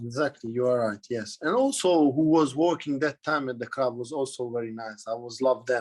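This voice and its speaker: A man speaks fairly quickly at a medium pitch with a non-native accent. He shows ordinary pitch variation and hardly pauses at all. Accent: foreign-accented English. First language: Hungarian. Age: 30s. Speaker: footballer. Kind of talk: interview. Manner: halting.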